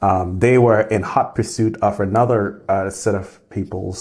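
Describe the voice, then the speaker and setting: Over a quiet background, a somewhat breathy man speaks at a moderate pace in a fairly low, monotone, flat voice. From Grenada. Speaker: engineering professor. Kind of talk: interview. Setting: office. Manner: halting with frequent repetitions. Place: office.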